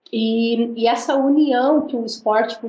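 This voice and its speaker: This is a normal speaking voice. The intonation is fairly even. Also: woman. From Brazil. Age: 40s. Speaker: missionary and former footballer. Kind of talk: interview.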